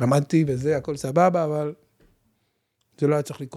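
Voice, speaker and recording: A man speaks at a moderate pace in a fairly high, somewhat breathy voice. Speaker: podcast host, financial advisor. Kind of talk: casual interview. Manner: animated.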